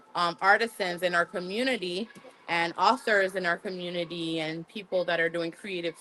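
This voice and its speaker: Against noticeable background noise, a woman with a Haitian accent speaks at a medium pitch. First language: Haitian Creole. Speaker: museum staff giving a tour. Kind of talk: guided tour on livestream.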